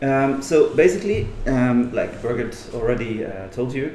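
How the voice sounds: In a room with audible echo, a man speaks at a moderate pace with a medium pitch, a dark, mellow tone and big pitch swings.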